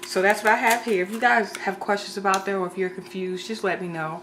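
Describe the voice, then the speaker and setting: A woman speaks very fast, with noticeable background noise behind her. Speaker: home cook video creator. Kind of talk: cooking tutorial.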